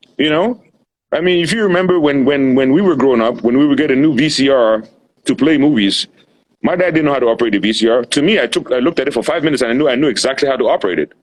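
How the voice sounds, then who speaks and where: Racing along at a very fast pace, a man with a fairly high pitch sounds animated while keeping his loudness very even. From Cameroon. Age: 40s. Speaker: medical doctor. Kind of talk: casual interview chat. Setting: Instagram live stream. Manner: animated, repetitive restarts.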